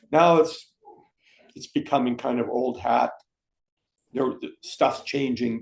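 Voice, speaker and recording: Speaking very slowly with long, frequent pauses, a man talks in a Canadian accent. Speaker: podcast host, retired oil industry worker. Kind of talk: casual family chat. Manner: halting, many repetitions.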